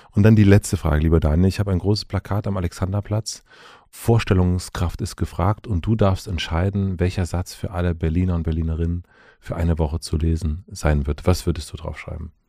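Very deep and low, a man's dark, mellow voice moves at a fairly quick pace with fairly even intonation over a very clean recording and silent background. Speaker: podcast host. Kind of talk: interview.

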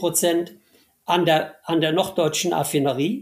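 A man with a high-pitched voice speaks very slowly on a very clean recording with a silent background. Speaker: former company CEO and state minister. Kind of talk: interview.

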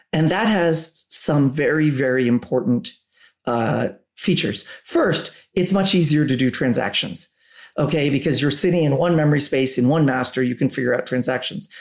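This is a normal speaking voice at a moderate pace, with ordinary pitch variation and very even loudness. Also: man, fairly high pitch for a man. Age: 50s. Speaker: tech company executive. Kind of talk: interview.

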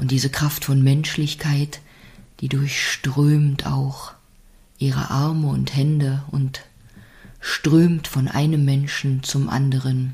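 Very slow and marked by long, frequent pauses, a woman's voice sits at a very deep, low pitch with a dark, mellow, soothing, gentle tone, somewhat breathy and in a monotone, flat intonation. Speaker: podcast host and meditation guide. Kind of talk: guided meditation; calm spoken reflection on life. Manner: slow, soothing, gentle; warm, encouraging, intimate address.

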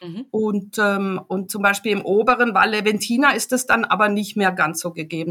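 A woman with a bright, sharp tone speaks at a medium pitch with ordinary pitch variation. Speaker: travel journalist and photographer. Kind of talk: casual interview. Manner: halting, many fillers.

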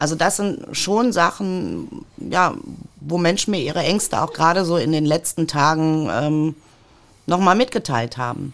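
In a very clean recording with a silent background, a woman with an ordinary speaking voice and fairly low pitch talks at a fairly slow pace with lively intonation. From Ruhr area, Germany (Mülheim an der Ruhr). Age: 50s. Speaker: politician. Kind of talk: podcast interview.

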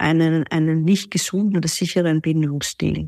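A woman's normal speaking voice, fairly low in pitch, fairly slow and fairly even, with a dry, close sound, no echo and a very clean recording with a silent background. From Austria, Vienna. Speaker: relationship coach. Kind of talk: interview.

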